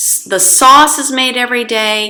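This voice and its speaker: The voice belongs to a woman. It has a bright, sharp tone. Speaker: English teacher. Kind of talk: language lesson monologue. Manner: slow.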